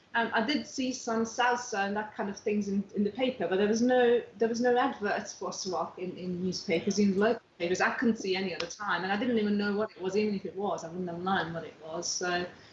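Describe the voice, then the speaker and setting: A woman at a medium pitch talks at a fairly quick pace with ordinary pitch variation and hardly any pauses, over noticeable background noise. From outside England. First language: not English. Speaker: dance teacher. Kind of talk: casual interview chat.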